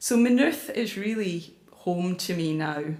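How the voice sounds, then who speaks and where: There is audible room echo as a woman with a Scottish accent speaks with ordinary pitch variation. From Scotland, Glasgow / central Scotland. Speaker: climate campaigner and author. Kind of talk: public talk. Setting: church with audience.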